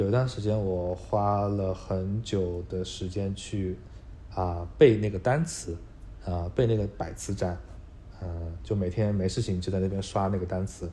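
This man's voice is very deep, low and somewhat breathy. He speaks at a fairly slow pace with ordinary pitch variation. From Hangzhou, China. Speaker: data engineer. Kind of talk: casual interview chat. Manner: hesitant, many fillers.

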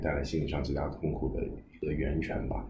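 Noticeable background noise accompanies speech that runs at a fairly quick pace. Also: man. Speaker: guest working in healthcare and education. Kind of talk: casual conversation. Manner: thoughtful, conversational, hesitant with fillers.

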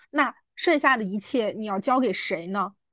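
Talking at a fairly quick pace over a quiet background, a woman with a plain, everyday voice uses lively intonation. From small city in China. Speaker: podcast co-host. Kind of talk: casual chat.

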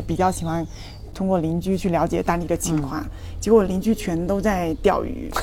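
Over noticeable background noise, a woman with a fairly low pitch speaks at a fairly quick pace. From China, Fujian. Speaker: traveller, former tech company employee. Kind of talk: casual interview chat.

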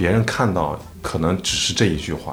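A man with a very deep, low pitch speaks through audible room echo and noticeable background noise. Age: 30s. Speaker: comedy performer. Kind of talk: casual chat.

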